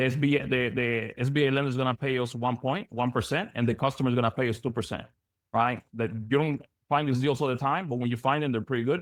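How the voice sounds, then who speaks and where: Speaking at a very fast pace, a man keeps a medium pitch, very even loudness and fairly even intonation. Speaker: business loan broker trainer. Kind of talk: webinar training presentation. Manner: halting, many repetitions.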